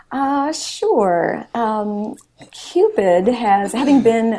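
A woman with an American accent, very wide pitch swings and noticeable background noise. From Wisconsin, Milwaukee. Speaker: author and TV reporter. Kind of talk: interview.

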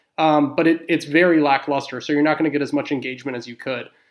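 A man talks at a fairly quick pace with an American accent and fairly even intonation. The recording is very clean, with a silent background. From Houston, Texas. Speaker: retail loyalty consultant. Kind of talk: panel discussion on loyalty programs.

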